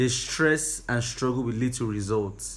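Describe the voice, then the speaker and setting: Noticeable background noise runs under this clip. A man speaks at a very slow pace. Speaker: podcast co-host. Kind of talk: casual chat.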